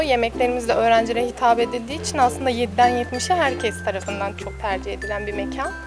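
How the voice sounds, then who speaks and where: The speaking pace is fairly quick. In the background, clear music can be heard. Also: woman. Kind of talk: interview answer. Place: cafe. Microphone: handheld.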